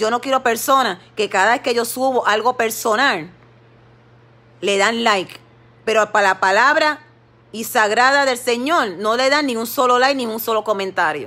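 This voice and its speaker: The woman's pitch varies in an ordinary way as she talks at a moderate pace. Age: 50s. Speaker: lay preacher on social media live. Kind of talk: devotional exhortation livestream. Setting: Facebook live stream. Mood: earnest, somewhat aggrieved. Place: home room. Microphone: phone near.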